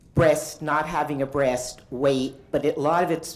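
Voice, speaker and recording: With audible room echo, a woman talks at a fairly slow pace and ordinary pitch variation. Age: 60s. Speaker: artist. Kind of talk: conference talk. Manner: halting.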